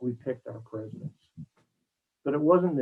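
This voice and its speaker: A man speaks with an American accent. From Maryland Eastern Shore (US Mid-Atlantic). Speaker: executive search consultant. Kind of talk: interview. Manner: halting, many repetitions and fillers.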